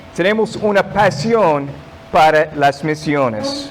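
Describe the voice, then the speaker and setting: Someone speaks at a very slow pace with lively intonation over noticeable background noise. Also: man. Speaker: guest pastor. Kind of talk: sermon. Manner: halting, non-native Spanish.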